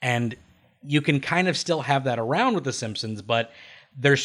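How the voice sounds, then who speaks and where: Here is a man with a plain, everyday voice, medium in pitch with ordinary pitch variation. He talks at a moderate pace on a very clean recording with a silent background. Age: 30s. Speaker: animation podcast host. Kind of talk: casual chat.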